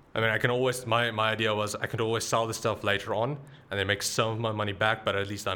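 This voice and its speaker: A man speaks very fast at a fairly low pitch. His intonation stays monotone and flat. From South Africa. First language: Afrikaans. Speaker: tech YouTuber. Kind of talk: casual interview chat.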